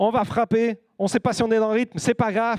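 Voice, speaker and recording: The speech moves at a fairly quick pace in an animated tone. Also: man, dry, close sound with no echo. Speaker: guest preacher. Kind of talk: sermon. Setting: church. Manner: fast.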